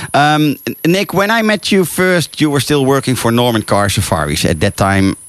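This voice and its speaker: A man with a Dutch accent talks at a fairly quick pace. His pitch swings very widely. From Netherlands. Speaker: radio host and safari tour operator. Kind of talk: radio interview. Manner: halting.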